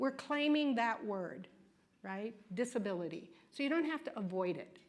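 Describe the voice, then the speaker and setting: Very wide pitch swings mark a woman's fairly high voice as she speaks at a moderate pace amid audible room echo. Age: 60s. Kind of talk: lecture. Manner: conversational, frequent "right?" and "okay?" tags.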